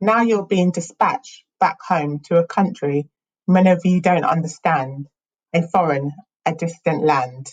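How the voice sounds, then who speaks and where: A woman with a fairly low pitch sounds somewhat breathy, talking at a fairly slow pace with ordinary pitch variation. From England. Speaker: spoken word poet. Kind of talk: spoken word poetry performance.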